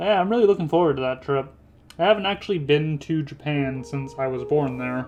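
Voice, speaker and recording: With noticeable background noise behind him, a man speaks fairly quickly in a fairly high pitch with lively intonation. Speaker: animation critic YouTuber. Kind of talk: casual commentary while animating. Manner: casual, self-deprecating asides.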